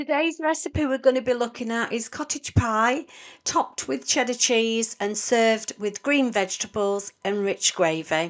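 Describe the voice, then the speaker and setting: A woman with a British accent speaks at a fairly slow pace in a fairly high pitch, her intonation lively and hardly any pauses breaking her speech against a quiet background. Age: 60s. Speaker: home cook video host. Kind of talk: cooking tutorial. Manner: casual, chatty.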